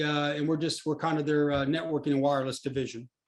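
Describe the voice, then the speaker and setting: A man with a Texas accent and fairly even intonation. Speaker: company presenter. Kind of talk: webinar presentation. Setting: online webinar. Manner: hesitant, many fillers.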